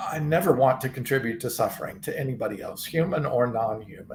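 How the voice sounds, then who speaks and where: A man is talking. His accent is American. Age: 60s. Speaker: vegan supplement company founder. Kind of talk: interview testimony. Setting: live stream. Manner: halting.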